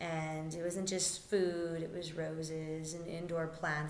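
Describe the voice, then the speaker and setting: Speech comes at a fairly slow pace. Noticeable background noise and audible room echo fill the recording. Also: woman. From Albuquerque, New Mexico. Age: 20s. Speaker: community center director. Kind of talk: interview monologue. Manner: halting with frequent fillers.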